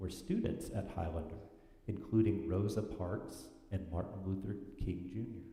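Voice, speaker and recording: With audible room echo, a man with a very deep, low voice speaks at a moderate pace and ordinary pitch variation. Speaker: worship leader reading children's story. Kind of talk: reading aloud. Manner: loud.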